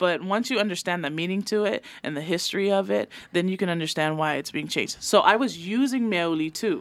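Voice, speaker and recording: A woman in a Samoan accent talks at a fairly quick pace, her medium pitch carried by lively intonation. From American Samoa. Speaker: activist and poet. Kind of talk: podcast interview. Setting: studio.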